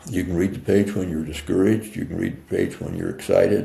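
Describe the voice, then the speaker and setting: His very deep, low pitch gives this man a dark, mellow tone that is somewhat breathy. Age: 80s+. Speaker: mindset coach and author. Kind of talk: interview answer.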